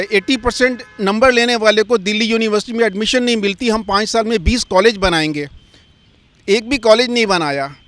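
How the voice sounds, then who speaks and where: Here a man talks at a high pitch. The rise and fall of his voice is ordinary. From Delhi, India. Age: 60s. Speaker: member of the public interviewed on the street. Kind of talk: street interview. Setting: outdoors at a public landmark.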